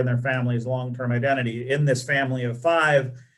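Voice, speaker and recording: A man speaks with audible echo from the room. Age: 60s. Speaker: webinar moderator. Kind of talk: panel discussion. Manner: halting.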